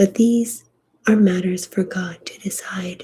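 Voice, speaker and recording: Very slowly, a woman speaks in a calm, soothing tone, dark and mellow and somewhat breathy. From Colombian heritage. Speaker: ASMR sleep story reader. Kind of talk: sleep story reading of a literary novel. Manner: slow, calm, soothing.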